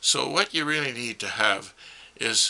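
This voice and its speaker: Noticeable background noise behind a man talking at a fairly slow pace. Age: 80s+. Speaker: retired mechanic and amateur car inventor. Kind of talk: explanatory monologue.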